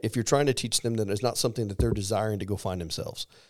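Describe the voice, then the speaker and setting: The speaker is a man with a Missouri accent. His recording is very clean, with a silent background. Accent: Midwestern US (Missouri). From Missouri, small rural town. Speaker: army command sergeant major. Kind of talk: interview. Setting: studio.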